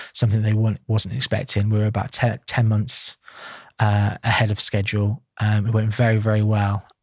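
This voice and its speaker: The speaker is somewhat breathy, with monotone, flat intonation, very even loudness and a fairly quick pace. The sound is dry and close with no echo, on a very clean recording with a silent background. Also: man, fairly low pitch for a man. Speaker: estate agent, property investor and auctioneer. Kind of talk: podcast interview answer.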